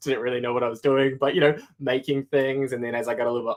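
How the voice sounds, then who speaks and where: The man has a New Zealand accent and a medium pitch. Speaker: product design manager. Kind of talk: casual interview chat.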